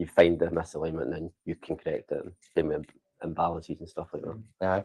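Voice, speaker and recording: A quiet voice with a Scottish accent speaks at a fairly quick pace in a monotone, flat intonation. The tone is dark and mellow, and the sound is dry and close with no echo. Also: man, very deep, low pitch for a man. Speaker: vibration analysis technician. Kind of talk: casual interview. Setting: office Christmas lunch, live stream.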